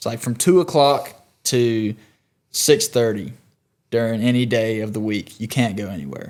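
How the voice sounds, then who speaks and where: With a Southern US accent, a man of medium pitch speaks at a moderate pace with lively intonation, big swings in loudness and long, frequent pauses, on a very clean recording with a silent background. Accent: Southern US (Georgia). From US South, South Georgia. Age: 20s. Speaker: country singer-songwriter. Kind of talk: casual chat.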